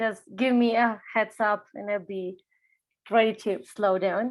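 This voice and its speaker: Speaking at a medium pitch with a Spanish accent, a woman keeps a fairly even intonation in a very clean recording with a silent background. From Colombia. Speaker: reproductive rights lawyer. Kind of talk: panel presentation.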